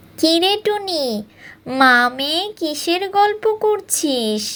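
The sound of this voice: This is a cartoonish character voice with an extremely high pitch. It goes at a fairly slow pace.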